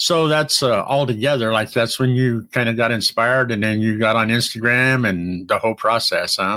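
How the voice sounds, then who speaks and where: In a very clean recording with a silent background, a man talks at a moderate pace and medium pitch, his tone bright and sharp, with ordinary pitch variation, hardly any pauses and very even loudness. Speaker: podcast host. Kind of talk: interview conversation.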